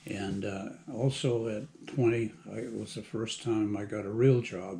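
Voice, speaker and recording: Somewhat breathy and dark, mellow in tone, a man talks at a fairly slow pace with a medium pitch. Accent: American. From Massachusetts, US. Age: 80s+. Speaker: retired plant manager. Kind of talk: personal life story interview. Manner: halting, many fillers.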